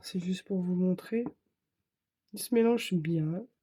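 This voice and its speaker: A soft-spoken woman talks at a fairly slow pace and a medium pitch. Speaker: craft youtuber. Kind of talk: tutorial. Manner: casual.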